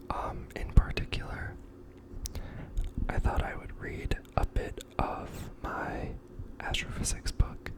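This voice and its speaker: A man whispers at a very slow pace, with long, frequent pauses. His loudness swings widely over noticeable background noise. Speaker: ASMR creator. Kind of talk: casual talk to camera.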